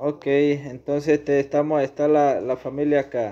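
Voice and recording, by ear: Speaking slowly, a man at medium pitch has a dark, mellow tone.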